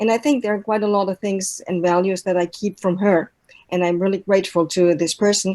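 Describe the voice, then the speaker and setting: A voice with a dark, mellow tone speaks in a German accent. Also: woman. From Germany. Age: old. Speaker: language and intercultural trainer, mentor. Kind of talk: online talk with slides.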